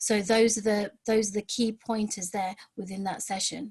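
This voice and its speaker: Somewhat breathy and fairly high-pitched, a woman speaks at a fairly quick pace with fairly even intonation. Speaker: outreach education provider presenter. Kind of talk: webinar presentation. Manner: fast; hesitant, many fillers and repeats.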